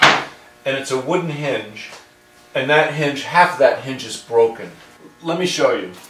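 A fairly slow voice with big swings in loudness amid noticeable background noise. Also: man, ordinary pitch variation. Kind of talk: tutorial. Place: workshop.

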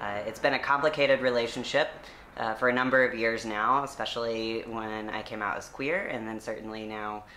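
Someone with an American accent talks at a moderate pace over light background noise. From US South. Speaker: seminary graduate and church activist; interview guest. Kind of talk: interview. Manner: hesitant with frequent fillers. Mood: calm, thoughtful. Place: home room. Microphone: camera far.

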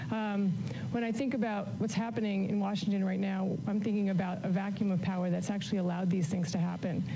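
Amid noticeable background noise, a woman talks at a fairly quick pace with fairly even intonation. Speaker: candidate. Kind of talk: debate answer. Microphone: podium.

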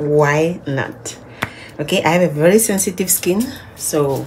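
Over light background noise, a woman speaks at a very deep, low pitch with ordinary pitch variation. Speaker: vlogger. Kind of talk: casual vlog chat. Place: car. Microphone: phone near.

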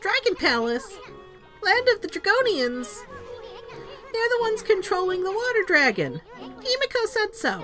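Put-on character voice at a moderate pace, with long, frequent pauses and clear background music. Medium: game stream. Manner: brash, pushy, wisecracking.

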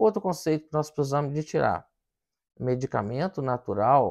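Against a quiet background, the speaking pace is moderate. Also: man. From Brazil. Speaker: physician, hematologist; presenter. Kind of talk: health education talk to camera; educational talk to camera. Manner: casual, with many filler words. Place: studio. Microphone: lapel.

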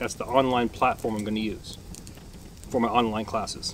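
A man speaks over light background noise, the sound dry with no echo. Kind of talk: casual vlog chat. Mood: relaxed, joking. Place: forest. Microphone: camera far.

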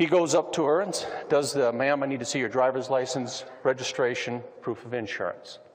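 The speaker has an American accent and fairly even intonation, talking at a fairly quick pace over noticeable background noise. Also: man, medium pitch for a man. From US Midwest, Missouri. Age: 50s. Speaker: police officer and UFO investigator. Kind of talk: lecture. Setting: stage with audience. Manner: humorous storytelling.

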